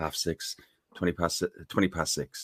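A man speaks with an Irish accent at a moderate pace. The sound is dry and close, with no echo. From Ireland. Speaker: fan podcaster. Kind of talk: casual chat. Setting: video call.

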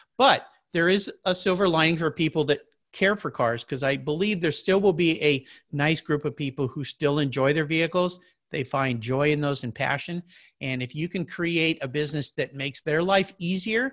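A man's fairly high voice with an American accent, an ordinary speaking voice at a moderate pace with ordinary pitch variation, against a quiet background. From Southern California (San Diego area). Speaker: podcast host, guest. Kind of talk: casual interview chat. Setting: video call from home.

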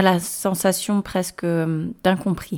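A woman's dark, mellow tone, fairly slow pace and fairly even intonation. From Morocco and France. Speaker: parenting podcast host. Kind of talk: solo podcast monologue.

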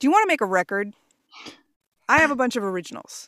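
The recording is very clean, with a silent background and a dry, close sound with no echo. A woman with an American accent speaks at a fairly high pitch. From New York. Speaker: voiceover artist and musician. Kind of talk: casual interview chat. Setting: home voiceover booth. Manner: talkative. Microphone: professional voiceover rig.

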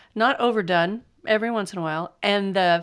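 A woman speaks at a moderate pace. The recording is very clean, with a silent background. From California. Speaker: podcast host. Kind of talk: casual monologue, book recommendations.

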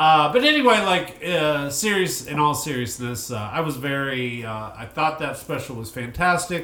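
Over noticeable background noise, a man speaks at a fairly slow pace with lively intonation and hardly any pauses. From Arkansas. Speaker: stand-up comedian. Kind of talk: casual chat.

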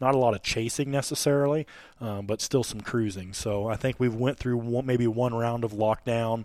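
This man has a plain, everyday voice at a medium pitch, talking at a moderate pace with fairly even intonation on a very clean recording with a silent background. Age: 30s. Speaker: hunting podcast host. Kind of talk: casual chat. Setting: hunting camp.

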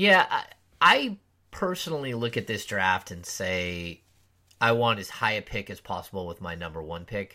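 Over a very clean recording with a silent background, a man with a fairly low pitch and a bright, sharp tone speaks at a moderate pace. His intonation is lively, with big swings in loudness. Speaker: basketball podcast host. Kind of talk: casual sports talk.

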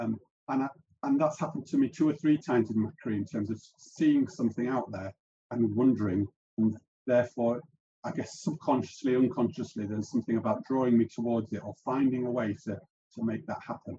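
A man's voice sits at medium pitch with a dark, mellow tone. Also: ordinary pitch variation, fairly quick pace. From South Africa, moved to UK as a child. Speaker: podcast host. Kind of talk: interview, being interviewed.

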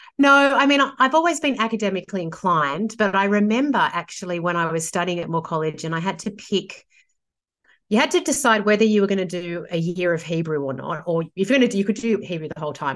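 Against a quiet background, a woman with an Australian accent talks very fast, with very wide pitch swings. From Sydney, Australia. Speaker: theologian and author. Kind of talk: casual interview conversation.

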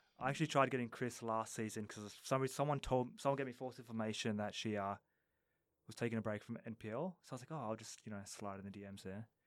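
Speaking very fast with an Australian accent, a man uses a medium pitch and ordinary pitch variation. His loudness swings widely. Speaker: football coach. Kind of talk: casual chat. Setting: studio.

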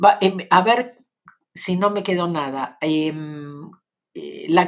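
A woman with a Rioplatense accent and a fairly low pitch, with ordinary pitch variation and a fairly slow pace, on a very clean recording with a silent background. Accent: Argentine Rioplatense Spanish. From Argentina. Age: 60s. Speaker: spiritual teacher and live streamer. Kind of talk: casual live stream chat. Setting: home, live stream.

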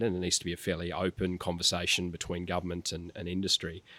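Talking at a very fast pace, a man with an Australian accent has a very deep, low pitch and a bright, sharp tone, on a very clean, dry, close recording with a silent background and no echo. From rural New South Wales, Australia. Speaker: tech policy executive. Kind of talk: interview.

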